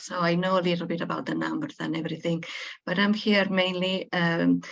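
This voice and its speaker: A woman is speaking. She has a Spanish accent. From Spain. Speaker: webinar participant. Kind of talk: group introduction in webinar. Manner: hesitant, many fillers.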